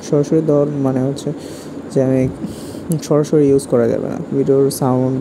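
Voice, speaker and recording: Noticeable background noise surrounds this voice. A man at medium pitch speaks in a monotone, flat way. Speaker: anime YouTuber. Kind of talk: casual talk to camera. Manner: chatty, informal.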